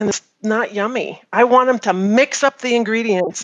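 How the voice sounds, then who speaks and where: Her intonation fairly even, a woman talks at a fairly slow pace in an ordinary speaking voice, fairly high in pitch. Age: 50s. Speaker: farm consultant. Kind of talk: interview.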